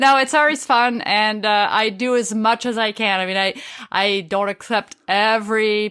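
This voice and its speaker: With a French accent, a woman speaks at a fairly high pitch in a bright, sharp tone. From France. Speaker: street photographer. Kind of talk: interview. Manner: passionate.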